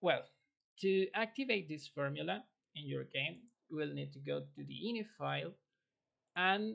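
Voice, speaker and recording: With a non-native accent, a man speaks at a moderate pace. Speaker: video game modder. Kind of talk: tutorial. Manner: halting, with fillers.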